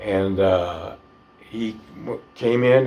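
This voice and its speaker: Over noticeable background noise, a man with a Southern US accent talks in a fairly low pitch with fairly even intonation. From northern Florida. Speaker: retired fighter pilot. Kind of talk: interview answer.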